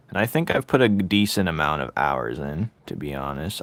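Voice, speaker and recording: A man with vocal fry speaks at a fairly quick pace in a dry, close sound with no echo. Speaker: artist streaming while drawing. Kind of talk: casual chat.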